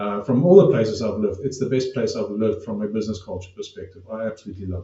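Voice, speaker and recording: Somewhat breathy, a man rushes along at a very fast pace with ordinary pitch variation and hardly any pauses. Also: medium pitch for a man. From South Africa. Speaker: podcast host. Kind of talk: podcast interview.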